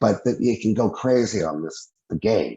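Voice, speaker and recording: With a plain, everyday voice, a man speaks at a fairly low pitch using lively intonation. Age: 60s. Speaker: UFO eyewitness, former airman. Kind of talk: interview testimony. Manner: casual, rambling with false starts.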